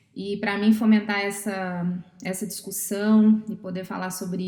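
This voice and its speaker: A woman with a Brazilian accent speaks at a fairly slow pace. Her medium pitch holds a monotone, flat intonation. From Brazil, Minas Gerais. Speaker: psychologist and therapist. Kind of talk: podcast interview.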